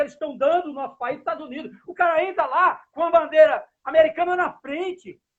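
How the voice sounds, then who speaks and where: A man with an extremely high pitch and fairly even intonation talks at a fairly quick pace. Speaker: political activist, city council candidate. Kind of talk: interview answer. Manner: heated, indignant.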